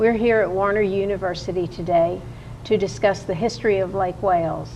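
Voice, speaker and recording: Fairly quick, monotone speech from a woman, flat in intonation and marked by vocal fry. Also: medium pitch for a woman. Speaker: oral history interviewer. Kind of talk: interview questions.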